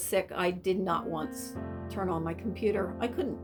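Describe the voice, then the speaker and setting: A woman talks at a moderate speed. Behind her, music plays. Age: 60s. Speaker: craft business owner. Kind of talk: testimonial interview answer.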